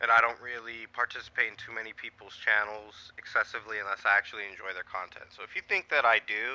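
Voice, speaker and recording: Someone is shouting at a fairly quick pace. The sound is dry and close, with no echo. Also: man. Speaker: gaming livestreamer. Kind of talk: casual livestream commentary. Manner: loud, yelling.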